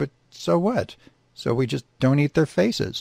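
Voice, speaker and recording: A man uses a put-on character voice at a medium pitch and a moderate pace. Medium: read story. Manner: blunt, matter-of-fact.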